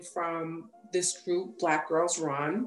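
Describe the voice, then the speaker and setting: Against noticeable background noise, a woman with a New York accent speaks at a very slow pace. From New York, Long Island. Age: 40s. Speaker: police detective, triathlete and coach. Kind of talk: casual interview.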